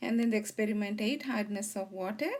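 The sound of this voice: A woman speaks with a slightly mellow tone and ordinary pitch variation.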